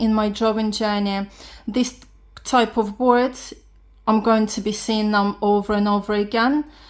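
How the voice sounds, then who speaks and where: Recorded very cleanly against a silent background, a woman with a non-native accent speaks fairly slowly at a fairly high pitch. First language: not English. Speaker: beginner art vlogger. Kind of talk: casual vlog talk. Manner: halting.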